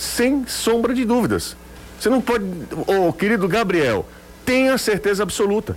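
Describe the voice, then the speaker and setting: The speaker leaves long, frequent pauses and keeps the loudness very even. Noticeable background noise runs underneath. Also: man, high pitch for a man, ordinary pitch variation, moderate pace. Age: 30s. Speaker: sports radio host. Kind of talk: sports talk radio.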